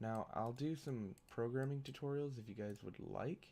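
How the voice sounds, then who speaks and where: A quiet male voice, dark and mellow in tone, with ordinary pitch variation. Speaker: gaming youtuber. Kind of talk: gameplay commentary. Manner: quiet, subdued; halting, many fillers.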